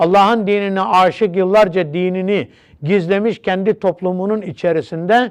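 This man's voice sits at a high pitch. He speaks at a fairly slow pace. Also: quiet background. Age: 60s. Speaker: religious teacher. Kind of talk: religious TV talk.

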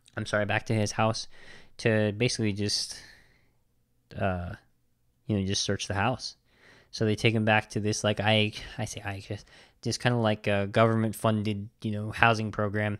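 A man with a fairly low pitch speaks in a monotone, flat intonation. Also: very clean recording, silent background. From Navajo reservation, US Southwest. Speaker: film podcast host. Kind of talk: casual solo film review.

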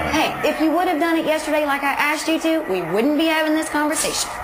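A woman talks at a fairly quick pace with noticeable background noise. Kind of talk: scripted comedy dialogue. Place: home room.

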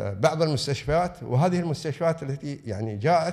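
In a quiet background, a man with a fairly high pitch talks at a fairly quick pace. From UAE. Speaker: religious affairs official; invited lecturer. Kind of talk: lecture. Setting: lecture hall with audience. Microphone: podium.

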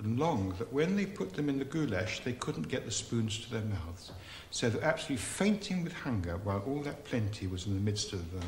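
There is light background noise and audible room echo. A man speaks with very wide pitch swings. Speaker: rabbi storyteller. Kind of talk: storytelling. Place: kitchen.

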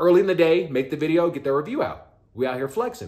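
Animated and fairly quick, a man with an American accent talks in a fairly high voice with vocal fry and very wide pitch swings. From Texas. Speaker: YouTuber. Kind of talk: casual vlog commentary.

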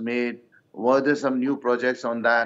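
The background is quiet. A man delivers his words at a fairly quick pace. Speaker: opposition politician. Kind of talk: televised panel debate. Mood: measured, cautious. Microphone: video call.

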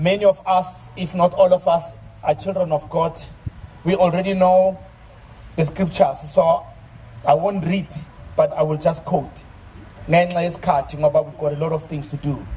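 A man at a high pitch, moderate pace and fairly even intonation. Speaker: preacher. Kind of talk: sermon. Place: open country. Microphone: handheld.

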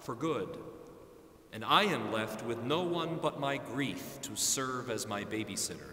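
A man speaks at a very slow pace. Audible room echo surrounds his voice. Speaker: pastor. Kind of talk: sermon. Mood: earnest, reflective. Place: church.

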